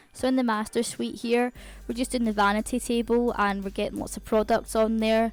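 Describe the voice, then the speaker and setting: A woman speaks in a Scottish accent at a fairly high pitch. Her pace is fairly quick and her intonation monotone and flat. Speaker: gaming YouTuber. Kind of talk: gameplay voiceover commentary. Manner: fast.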